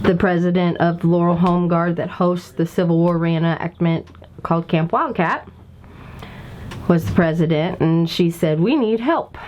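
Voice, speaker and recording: A woman with an Appalachian accent speaks at a fairly low pitch and a moderate pace, her intonation fairly even. Her loudness stays very even, and there is noticeable background noise. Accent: Appalachian Kentucky. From Kentucky. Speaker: civil war reenactment organizer. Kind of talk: interview. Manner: conversational, rambling with fillers.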